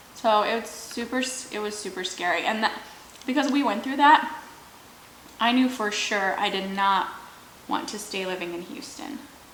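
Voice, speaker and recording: Woman's fairly high voice at a moderate pace, with ordinary pitch variation, long, frequent pauses, audible room echo and noticeable background noise. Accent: American. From Michigan, US. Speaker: YouTuber, mukbang host. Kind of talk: casual story time while eating.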